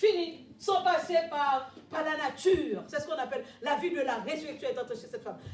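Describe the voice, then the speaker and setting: A woman's extremely high voice at a fairly quick pace, lively in intonation, with audible room echo. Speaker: preacher. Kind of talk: sermon.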